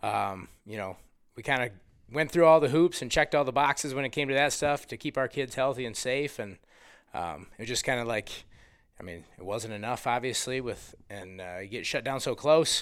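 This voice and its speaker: Big swings in loudness and lively intonation mark a man's plain, everyday voice in an American accent. He speaks at a moderate pace and medium pitch. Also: very clean recording, silent background. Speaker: high school basketball coach. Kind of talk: casual interview.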